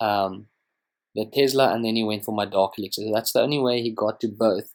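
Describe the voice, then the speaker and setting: With a South African accent, a man talks with fairly even intonation. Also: very clean recording, silent background. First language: Afrikaans. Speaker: gaming youtuber. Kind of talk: gameplay commentary. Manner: casual, hesitant with fillers.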